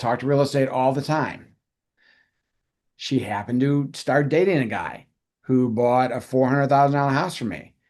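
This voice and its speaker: This is a plain, everyday voice. It keeps a moderate pace. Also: man. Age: 60s. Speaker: realtor. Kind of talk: interview.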